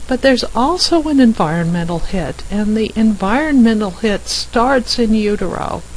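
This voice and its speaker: A woman's fairly high voice with an American accent, lively intonation and a moderate pace over noticeable background noise. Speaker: physician. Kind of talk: recorded slide presentation. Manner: informal, conversational.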